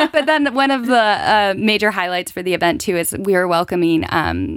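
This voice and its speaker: This is a woman talking with a West Coast American accent. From California. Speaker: non-profit event organizer. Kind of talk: studio radio interview. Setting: studio.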